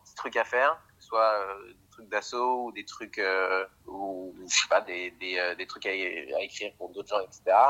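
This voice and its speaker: A man is speaking. His pace is very slow. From Paris, France. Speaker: screenwriting student. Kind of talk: casual chat. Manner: animated. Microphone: phone with earphones.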